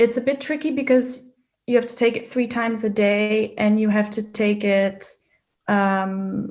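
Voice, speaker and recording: At a fairly slow pace, the delivery keeps a fairly even intonation. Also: woman, fairly high pitch for a woman. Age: 30s. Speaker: patient with a chronic illness. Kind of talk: interview testimony. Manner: hesitant, with fillers and restarts.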